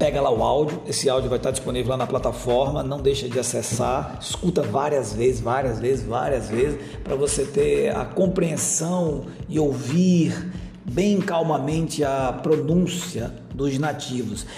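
Over music in the background and with audible room echo, a man speaks fairly slowly at a fairly high pitch with ordinary pitch variation. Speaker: English teacher. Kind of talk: lesson commentary. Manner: casual, conversational.

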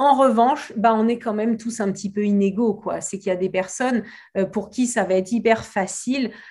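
On a very clean recording with a silent background, a woman speaks in a somewhat breathy, fairly high voice with ordinary pitch variation. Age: 40s. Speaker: reiki teacher and hypnotherapist. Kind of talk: interview. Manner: halting, repeats words.

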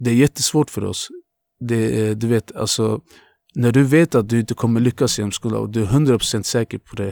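On a very clean recording with a silent background and a dry, close sound with no echo, a man speaks in a normal speaking voice at a medium pitch and moderate pace. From Azerbaijan, moved to Luleå at 13. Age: 20s. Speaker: tattoo artist. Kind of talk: casual chat.

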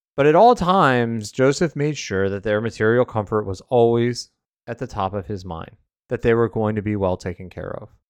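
The man has a normal speaking voice, medium in pitch, with lively intonation. He talks at a moderate pace, and the sound is dry and close with no echo. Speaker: podcast host. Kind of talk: fervent prayer, reading a devotional prayer aloud. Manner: earnest, reverent.

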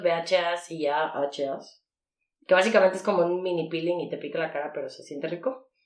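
A woman with a Mexican accent speaks at a moderate pace with ordinary pitch variation. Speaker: podcast co-host. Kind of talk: casual chat.

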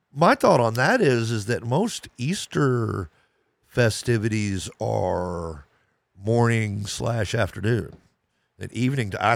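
A man's fairly low voice, an ordinary speaking voice with ordinary pitch variation, in a very clean recording with a silent background. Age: 50s. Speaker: podcast co-host. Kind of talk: casual chat.

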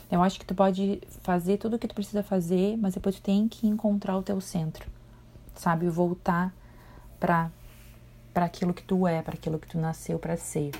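A woman speaks at medium pitch and a moderate pace in a relaxed, warm, dark, mellow tone that is somewhat breathy, with fairly even intonation. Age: 40s. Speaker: spirituality mentor, podcast host. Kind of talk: casual solo monologue. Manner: relaxed, warm, conversational.

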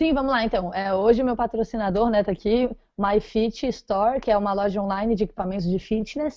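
Speaking at a fairly quick pace with a fairly high pitch and ordinary pitch variation, a woman uses a plain, everyday voice. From Florianópolis, southern Brazil. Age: 20s. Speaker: professional triathlete and running coach. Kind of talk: podcast interview.

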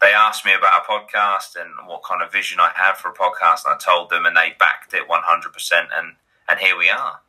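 Talking at a very fast pace, a man speaks with an East Anglian accent. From Great Yarmouth, Norfolk, England. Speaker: YouTuber and podcaster. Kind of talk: casual chat.

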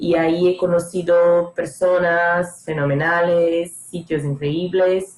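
Speaking at a very slow pace with hardly any pauses, a woman keeps her intonation monotone and flat. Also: fairly low pitch for a woman. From northeastern Brazil, Maceió. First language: Portuguese (speaking Spanish). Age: 20s. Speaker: former exchange student. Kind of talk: casual chat.

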